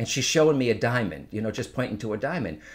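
This man's intonation is lively. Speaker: psychic medium. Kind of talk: casual interview conversation. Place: home room. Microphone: studio mic.

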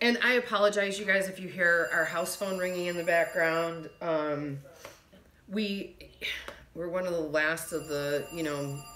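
Light background noise runs under the recording. Room echo is audible. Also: woman. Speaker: reseller vlogger. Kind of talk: casual vlog chat. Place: home room. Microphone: phone near.

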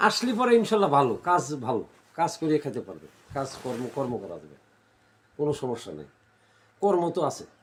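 A man with a fairly high pitch and vocal fry speaks with very wide pitch swings and big swings in loudness. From Bangladesh, Pabna district. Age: 50s. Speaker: migrant worker. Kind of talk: interview testimony. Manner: halting.

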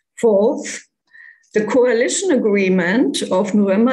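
This woman's voice has a dark, mellow tone and a fairly high pitch. It comes across somewhat breathy. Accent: German. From Germany. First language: German. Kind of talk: prepared talk. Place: home room. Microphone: webcam.

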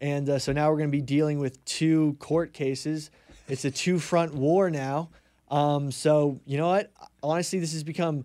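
Against a quiet background, a man with an American accent speaks at a moderate pace in a fairly high pitch, with a dark, mellow tone and monotone, flat intonation. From New York. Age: 20s. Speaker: congressional candidate; candidate. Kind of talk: interview. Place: studio. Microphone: studio mic.

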